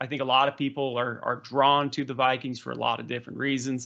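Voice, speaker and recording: Against a quiet background, a man speaks with a fairly high pitch and a bright, sharp tone. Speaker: history podcast host. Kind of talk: interview. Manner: fast.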